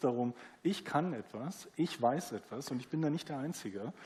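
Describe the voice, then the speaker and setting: A man's dark, mellow tone with lively intonation. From East Germany. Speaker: newspaper publisher. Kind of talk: panel discussion. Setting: theatre stage with audience.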